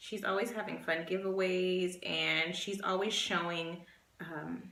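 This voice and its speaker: Her words come at a fairly slow pace. The woman's voice carries audible room echo amid noticeable background noise. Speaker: beauty vlogger. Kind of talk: casual chat. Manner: halting.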